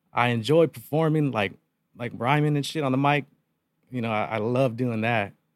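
A man with an American accent speaks in an ordinary speaking voice at a moderate pace. His pitch is medium and varies in an ordinary way. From Yuma, Arizona, US. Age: 30s. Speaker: rapper and music producer. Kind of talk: casual chat.

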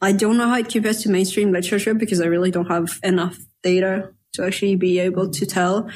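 A woman's somewhat breathy voice at a medium pitch, in a French accent, very fast yet very even in loudness, with fairly even intonation. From France. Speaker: novelist. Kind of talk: casual chat.

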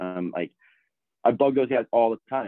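A man speaks in an ordinary speaking voice. His pace is moderate and his pitch varies in an ordinary way. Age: 30s. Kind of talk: casual chat.

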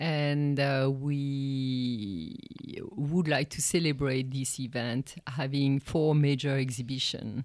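A woman with a French accent, very deep and low in pitch, her intonation fairly even, at a very slow pace. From France. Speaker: art history professor and research center director. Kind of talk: interview.

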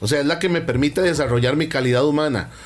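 There is audible room echo as a man speaks in a fairly high pitch with ordinary pitch variation. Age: 50s. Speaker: values and personal development speaker. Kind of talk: radio talk, motivational lecture.

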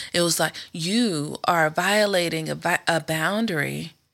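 A woman with an American accent speaks at a fairly low pitch with fairly even intonation. Her tone is bright and sharp, with vocal fry. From US South. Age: 40s. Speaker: host's sister, podcast guest. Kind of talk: casual chat.

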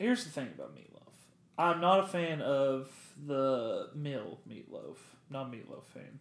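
The speech runs at a fairly slow pace, with long pauses that come often. Loudness swings widely, and room echo is audible. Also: man. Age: 20s. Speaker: podcast co-host. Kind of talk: casual chat.

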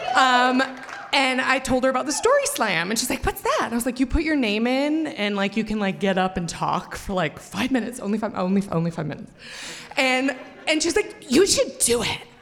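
Very wide pitch swings at a fairly quick pace, with noticeable background noise. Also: woman, high pitch for a woman. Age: 40s. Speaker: storyteller. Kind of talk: live storytelling. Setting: stage with audience. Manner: halting.

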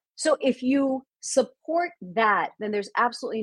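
A woman speaks at a moderate pace with very wide pitch swings, in a dry, close sound with no echo. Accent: American. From US, Indian Gujarati family. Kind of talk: casual interview. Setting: video call.

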